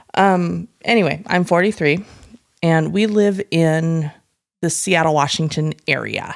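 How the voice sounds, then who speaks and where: This woman has a plain, everyday voice, fairly low in pitch, with ordinary pitch variation. She talks at a fairly slow pace, and her loudness stays very even. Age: 40s. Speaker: podcast co-host. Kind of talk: casual chat. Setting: home, on the couch.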